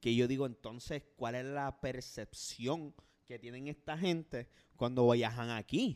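With a Puerto Rican accent, a man speaks fairly slowly at a medium pitch and fairly even intonation, recorded very cleanly against silence. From Puerto Rico. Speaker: podcast co-host. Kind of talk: casual chat.

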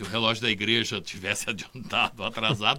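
At a moderate pace, a man speaks with a bright, sharp tone. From Brazil, Casa Branca, São Paulo state. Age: 60s. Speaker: beatification commission member. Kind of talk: casual chat, storytelling.

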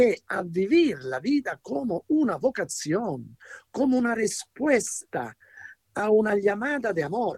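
This man has an Italian accent and a high-pitched voice with very wide pitch swings. He speaks at a very slow pace, and the sound is dry and close with no echo. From Italy. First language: Italian (speaking Spanish). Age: 70s. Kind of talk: radio interview teaching. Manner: hesitant, searching for words.

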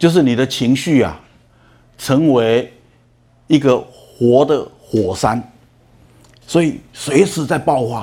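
A man speaks at a very slow pace, with long, frequent pauses. His voice has a dark, mellow tone and sits at a medium pitch. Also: ordinary pitch variation. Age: 60s. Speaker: lecturer on emotional management. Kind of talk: lecture. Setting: lecture hall with audience.

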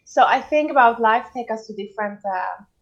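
With a Swedish accent, a woman speaks at a fairly high pitch. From Sweden. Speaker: mindset coach. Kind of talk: interview.

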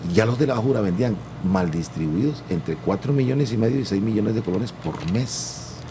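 With lively intonation and a fairly low pitch, a man speaks at a moderate pace amid audible room echo and noticeable background noise. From Costa Rica, Guanacaste (Santa Cruz). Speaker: singer-songwriter and music producer. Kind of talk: interview.

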